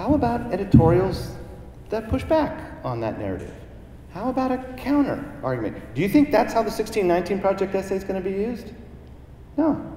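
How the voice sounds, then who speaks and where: A man with an American accent speaks at a fairly quick pace in a high voice, his pitch swinging very widely, with long, frequent pauses, audible room echo and noticeable background noise. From Southern California. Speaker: professor. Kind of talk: lecture. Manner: animated.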